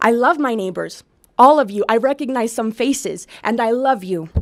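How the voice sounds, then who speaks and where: Using a normal speaking voice, a woman with an American accent talks at a moderate pace in a fairly high pitch with ordinary pitch variation. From Utah, Vernal. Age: 20s. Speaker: public commenter. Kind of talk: public comment speech. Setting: public meeting room with audience.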